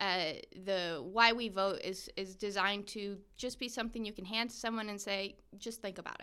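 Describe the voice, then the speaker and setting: With a bright, sharp tone and fairly even intonation, a woman speaks at a moderate pace and a medium pitch. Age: 30s. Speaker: political action director. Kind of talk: casual chat.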